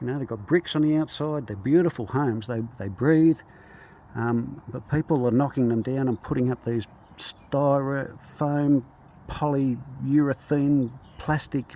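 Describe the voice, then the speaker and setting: At a fairly slow pace, a man with an Australian accent speaks in a dark, mellow tone at medium pitch with ordinary pitch variation. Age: 60s. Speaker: bricklayer. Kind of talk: casual talk to camera. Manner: hesitant, many fillers.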